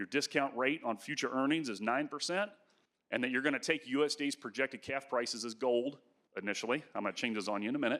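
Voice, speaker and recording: A man speaks in a fairly high voice with lively intonation. His tone is bright and sharp. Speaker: agricultural economics professor. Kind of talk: conference presentation. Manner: fast.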